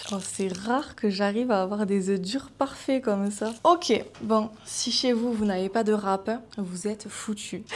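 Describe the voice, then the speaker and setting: A woman with a normal speaking voice and a fairly high pitch. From southern France. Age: 20s. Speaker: food content creator. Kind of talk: casual cooking talk to camera. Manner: upbeat, cheerful.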